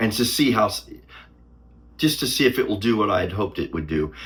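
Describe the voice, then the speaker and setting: The speech comes at a very fast pace. Vocal fry runs through the voice. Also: man. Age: 60s. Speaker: YouTuber. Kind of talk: casual vlog talk to camera. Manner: halting.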